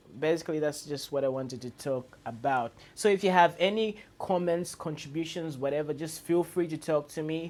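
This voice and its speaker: Speaking fairly quickly with an African accent, a man uses a fairly high pitch and ordinary pitch variation. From Zambia. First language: non-English Zambian language. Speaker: YouTuber. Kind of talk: vlog monologue. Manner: hesitant with fillers and repetitions; trying to speak loud and clear.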